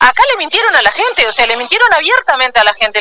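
Raising and projecting her voice, a woman speaks very fast in a high pitch with very wide pitch swings. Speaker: trade union leader. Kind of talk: interview.

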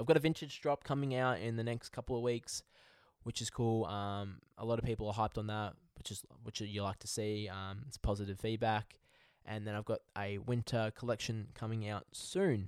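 On a very clean recording with a silent background, a man with an Australian accent talks at a fairly quick pace in a medium pitch, with fairly even intonation. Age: 20s. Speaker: podcast host. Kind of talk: casual monologue.

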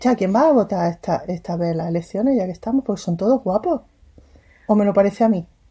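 Speaking very fast, a woman has a dark, mellow tone and a somewhat breathy voice. Her medium pitch shows ordinary variation over a quiet background. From Catalonia (Sabadell). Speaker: podcast co-host. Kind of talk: casual chat.

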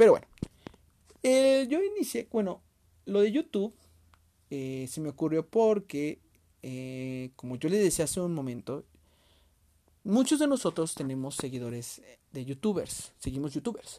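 On a very clean recording with a silent background, a man with a dark, mellow tone speaks fairly slowly, with very wide pitch swings and long, frequent pauses. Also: fairly high pitch for a man, big swings in loudness. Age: 20s. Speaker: podcast host and youtuber. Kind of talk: casual monologue. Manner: halting.

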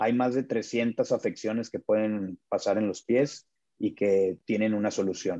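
A man speaks at a fairly slow pace in a fairly low pitch, his dark, mellow tone kept in fairly even intonation. His loudness is very even, and the sound is dry and close with no echo. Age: 30s. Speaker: podiatrist. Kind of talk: interview. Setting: doctor's office.

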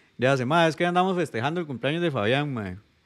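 A man is talking. Very wide swings mark his pitch. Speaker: podcast co-host. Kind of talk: casual chat. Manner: animated.

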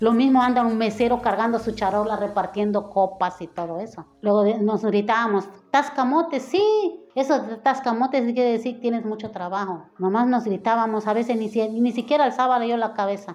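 A woman talks in a fairly high voice at a moderate pace, with hardly any pauses and ordinary pitch variation. Noticeable background noise sits behind her. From Mexico, Acapulco, Guerrero. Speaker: hotel worker recounting city's founding years. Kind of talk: interview. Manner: halting.

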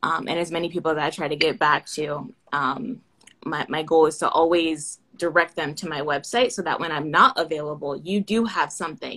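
An unremarkable speaking voice, a woman's with an American accent, comes at a fairly low pitch and moderate pace with ordinary pitch variation. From Florida, US (Orlando). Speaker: aerospace engineering PhD student. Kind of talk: casual interview. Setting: Instagram Live video call.

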